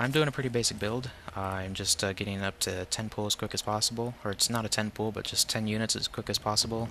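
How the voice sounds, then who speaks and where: A man's bright, sharp voice, fairly low-pitched, flat and monotone, at a fairly quick pace. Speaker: gaming commentator. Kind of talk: game commentary. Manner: hesitant, many fillers.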